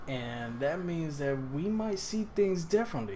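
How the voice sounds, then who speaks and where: A man with a New York accent speaks with very wide pitch swings. Room echo is audible. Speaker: personal trainer. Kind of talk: casual vlog monologue. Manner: halting, self-correcting.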